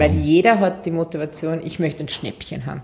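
Vocal fry colors a woman's fairly low pitch. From Austria, Waldviertel (Lower Austria). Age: 30s. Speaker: marketing executive. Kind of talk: interview.

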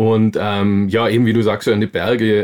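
A man's medium-pitched voice comes through in a monotone, flat intonation on a very clean recording against a silent background. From Bavaria, Augsburg. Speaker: mountain biker and adventurer. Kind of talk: interview.

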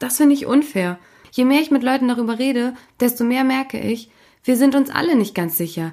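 This woman talks at a fairly quick pace in a high voice with lively intonation. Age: 30s. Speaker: podcast host. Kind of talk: interview; scripted narration.

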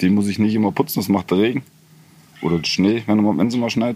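At a medium pitch, a man speaks in a dark, mellow tone with ordinary pitch variation. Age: 50s. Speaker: homeowner running own hydro and solar power. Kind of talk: casual interview.

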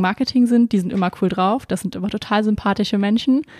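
A woman speaks at a medium pitch with fairly even intonation. She has a plain, everyday voice. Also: dry, close sound with no echo, very clean recording, silent background. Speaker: trainee podcast host. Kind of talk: interview.

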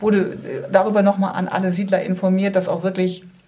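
A woman at a medium pitch talks fairly quickly while noticeable background noise carries on behind her. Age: 40s. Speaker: residents' association chair. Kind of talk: interview. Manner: hesitant.

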